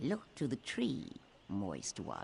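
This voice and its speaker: A man's put-on character voice at a medium pitch, with clear background noise. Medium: video game. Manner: haughty, aloof.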